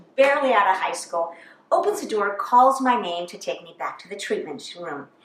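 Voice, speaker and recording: Noticeable background noise runs behind a woman's voice. Her pitch moves in very wide swings. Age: 60s. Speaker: comedian. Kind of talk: stand-up.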